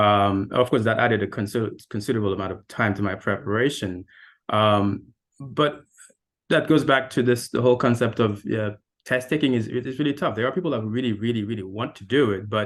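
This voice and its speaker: Speaking with a Haitian accent, a man goes at a fairly quick pace at medium pitch with ordinary pitch variation. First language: French. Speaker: architect. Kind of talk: panel discussion.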